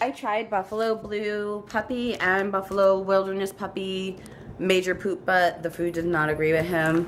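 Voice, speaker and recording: A woman with a Long Island accent speaks at a fairly slow pace, her medium pitch showing ordinary pitch variation. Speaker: pet vlogger. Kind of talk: casual product haul chat. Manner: chatty, talkative.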